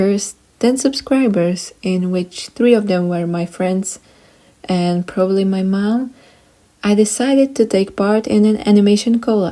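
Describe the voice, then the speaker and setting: A woman's dark, mellow voice at a medium pitch, with ordinary pitch variation and a fairly slow pace. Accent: Eastern European. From Eastern Europe. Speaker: YouTuber and artist. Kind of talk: storytime narration. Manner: animated.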